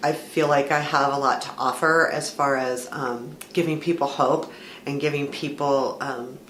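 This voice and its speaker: Over noticeable background noise and audible room echo, a woman talks fairly slowly in a very deep, low, monotone voice with flat intonation. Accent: American. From US West Coast, Southern California (San Fernando Valley). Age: 50s. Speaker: vlogger. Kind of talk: casual personal vlog talk. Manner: hesitant, many fillers and repeats.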